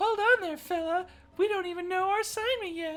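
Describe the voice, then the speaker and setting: A woman's put-on character voice, squeaky and extremely high, with a bubbly, nervous tone and a fairly quick pace, over faint background music. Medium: game stream.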